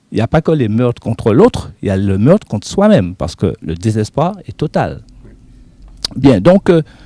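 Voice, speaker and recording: This man's voice has a dark, mellow tone and very wide pitch swings. The sound is dry and close, with no echo. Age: 60s. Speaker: studio guest commentator. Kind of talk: television interview.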